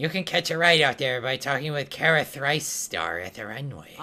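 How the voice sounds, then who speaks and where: A man puts on a character voice, pitched fairly high. He talks at a moderate pace. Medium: game stream. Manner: chatty, busy, practical.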